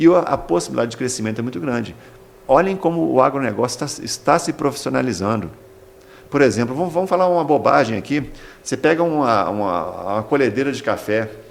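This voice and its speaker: Noticeable background noise sits behind this recording. In it, a man talks very fast with lively intonation. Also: medium pitch for a man. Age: 60s. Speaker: agricultural school director. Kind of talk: interview. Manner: halting, many repetitions.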